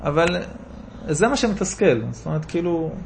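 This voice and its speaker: Audible room echo surrounds a man speaking at a fairly quick pace. His pitch is high. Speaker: rabbi giving Torah classes. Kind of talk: Torah lecture with audience discussion. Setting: class in a private home. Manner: animated.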